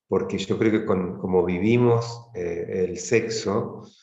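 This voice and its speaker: A man's voice carries audible room echo. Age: 50s. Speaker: tantra practitioner leading men's circles. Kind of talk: interview conversation.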